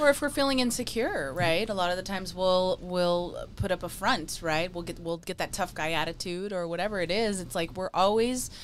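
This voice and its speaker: A woman talks with hardly any pauses and ordinary pitch variation over light background noise. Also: medium pitch for a woman, moderate pace. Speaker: podcast co-host. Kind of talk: podcast conversation. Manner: calm, serene. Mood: reflective, earnest. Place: studio. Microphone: studio mic.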